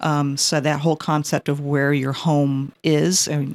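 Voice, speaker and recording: A woman's very deep, low-pitched voice with an American accent, flat and monotone, in a dry, close sound with no echo. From California, teen years in New England. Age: 50s. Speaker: poet. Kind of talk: interview.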